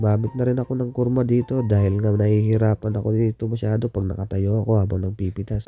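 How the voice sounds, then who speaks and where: Over music in the background, a man speaks at a very fast pace with monotone, flat intonation. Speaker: farm worker, vlogger. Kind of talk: vlog narration. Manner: casual, conversational.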